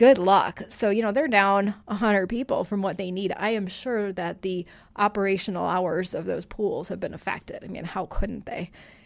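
A plain, everyday voice with fairly even intonation and hardly any pauses. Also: woman, medium pitch for a woman, moderate pace, very clean recording, silent background. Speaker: publisher. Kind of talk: casual chat. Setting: studio.

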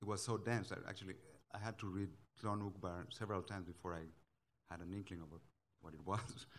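Speaking at a very fast pace with long, frequent pauses, a man with a Spanish accent talks in a very deep, low pitch with fairly even intonation. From Guatemala. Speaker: novelist. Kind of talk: panel discussion. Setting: stage with audience.

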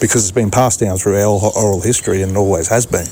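Noticeable background noise sits behind a man with an Australian accent. His pitch is fairly low, with fairly even intonation. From Ipswich region, Queensland, Australia. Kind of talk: interview. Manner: halting, repeats words.

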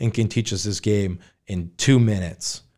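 The recording is very clean, with a silent background. A man with an American accent speaks at medium pitch with fairly even intonation. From New Hampshire, US (Manchester). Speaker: board game cafe owner. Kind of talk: casual interview.

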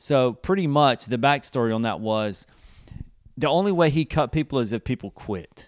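Close and dry with no echo, a man with an American accent talks at a moderate pace and medium pitch with lively intonation. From US South, South Carolina. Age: 30s. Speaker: youth ministry leader. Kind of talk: casual interview.

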